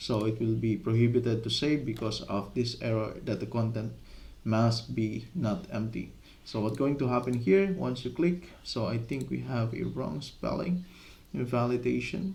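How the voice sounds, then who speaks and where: A man with a non-native accent talks at medium pitch and a moderate pace, somewhat breathy. His intonation is lively, and audible room echo surrounds him. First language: not English. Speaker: software development tutor. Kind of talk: coding tutorial. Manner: halting, with many fillers.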